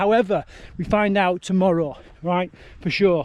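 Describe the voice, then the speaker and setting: With a Yorkshire accent, a man speaks at a high pitch against a quiet background. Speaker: ultrarunner vlogger. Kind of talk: casual vlog talk. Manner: casual, halting.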